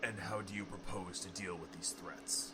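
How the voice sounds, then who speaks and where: A man puts on a character voice with a very deep, low pitch. Loud background noise runs behind him. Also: moderate pace. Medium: audio drama. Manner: cold, curt, hostile.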